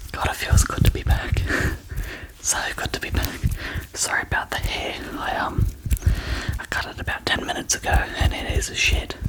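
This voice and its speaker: Someone whispers at a moderate pace, leaving long, frequent pauses over noticeable background noise. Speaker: ASMR creator. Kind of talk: ASMR casual talk to camera.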